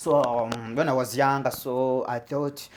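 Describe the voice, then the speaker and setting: Speaking at a moderate pace, a man has a Rwandan accent. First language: Kinyarwanda. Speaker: comedian. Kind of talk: stand-up. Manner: halting, many repetitions.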